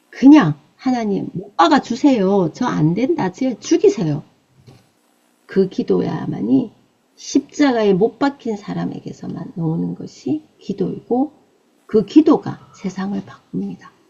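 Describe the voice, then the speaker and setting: A woman with a Busan accent speaks very slowly, her loudness swinging widely. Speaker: evangelist preacher. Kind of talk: sermon. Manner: emphatic, exhortative.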